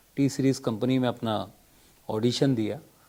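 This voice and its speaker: A man speaks at medium pitch in a dark, mellow tone. His intonation stays monotone and flat. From Madhya Pradesh, India. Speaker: playback singer. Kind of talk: interview. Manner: hesitant, with filler sounds.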